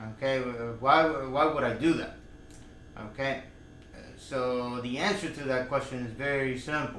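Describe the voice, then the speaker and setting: A man speaks at a medium pitch with fairly even intonation. There is audible echo from the room. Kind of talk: personal vlog monologue. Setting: in front of a camera. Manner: slow; halting, many fillers.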